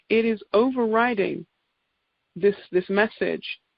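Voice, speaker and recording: A woman speaks with an English accent. Her pace is fairly slow. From England. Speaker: naturopath giving product presentation. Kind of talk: sales presentation.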